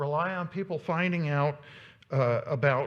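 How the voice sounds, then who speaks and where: A man speaks in a somewhat breathy voice. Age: 60s. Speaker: volunteer organization leader giving a presentation. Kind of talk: conference presentation. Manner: halting, many fillers.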